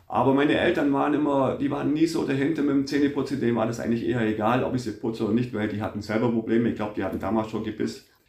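A man talking very fast at a medium pitch, ordinary pitch variation, hardly any pauses, and noticeable background noise. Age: 50s. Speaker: factory foreman and dental patient. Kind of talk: interview.

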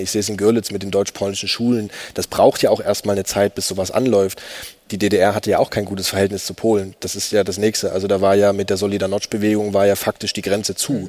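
This man has a fairly low pitch and speaks at a very fast pace. His intonation is monotone and flat. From eastern Germany, Upper Lusatia (Saxony). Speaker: writer. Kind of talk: panel discussion before live audience. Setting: stage with audience.

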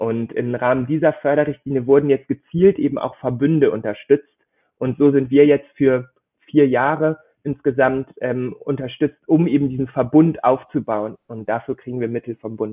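This man has an ordinary speaking voice at a medium pitch. He keeps a moderate pace and fairly even intonation. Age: 20s. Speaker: startup program manager and doctoral researcher. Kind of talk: interview.

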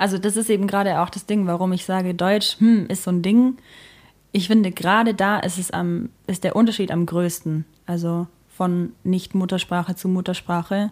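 A woman at a medium pitch and moderate pace, a plain, everyday voice with fairly even intonation. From rural Germany. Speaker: singer and keyboardist in a duo. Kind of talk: casual interview chat. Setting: at the host's home.

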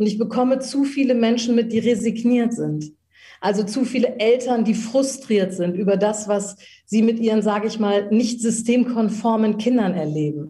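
A woman speaks at a moderate pace in a fairly high, somewhat breathy voice with a dark, mellow tone and ordinary pitch variation. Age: 50s. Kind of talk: interview.

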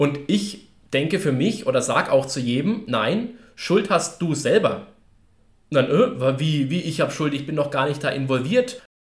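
This man speaks at a fairly slow pace in a fairly high, somewhat breathy voice whose pitch swings very widely. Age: 20s. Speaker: coaching company staff member. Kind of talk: casual chat.

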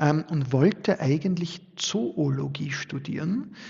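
A man speaks very slowly in a fairly high voice. His delivery is somewhat breathy. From Austria, Styria (upper Murtal). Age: 40s. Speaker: sociologist and business owner. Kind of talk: podcast interview.

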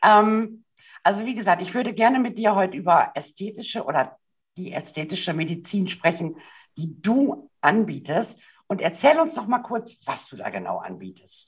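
A woman with a medium pitch and a somewhat breathy voice talks at a moderate pace. Her intonation is lively, and her loudness swings widely. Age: 50s. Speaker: podcast host and style coach. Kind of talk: interview.

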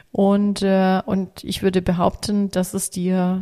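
Dark and mellow in tone, a woman speaks at medium pitch. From Italian, raised in Africa. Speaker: coach for children and families. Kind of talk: interview. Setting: at a kitchen table. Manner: hesitant with fillers.

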